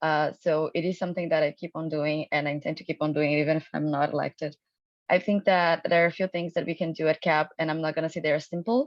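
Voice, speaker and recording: A woman's very deep, low voice with a non-native accent at a fairly quick pace. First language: not English. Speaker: student union election candidate. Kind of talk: candidate forum speech. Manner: halting, many fillers.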